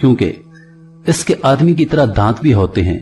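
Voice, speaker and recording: A man speaks with music in the background. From Pakistan. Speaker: voice-over artist. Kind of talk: religious story narration.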